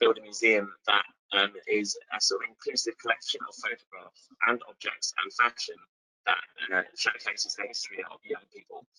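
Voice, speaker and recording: A man with a British accent speaks at a fairly quick pace, his loudness swinging widely, in a dry, close recording with no echo. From UK. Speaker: museum founder. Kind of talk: webinar presentation.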